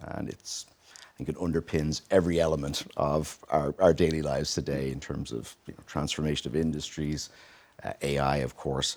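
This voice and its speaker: At a moderate pace, a man speaks with a very deep, low pitch, vocal fry, monotone, flat intonation and big swings in loudness. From Ireland, Dublin. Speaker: tech company CEO. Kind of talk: interview. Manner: many fillers (uh, um).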